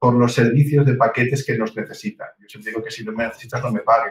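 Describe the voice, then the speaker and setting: A somewhat breathy man's voice at a fairly quick pace. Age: 50s. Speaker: real estate agency owner. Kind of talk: interview.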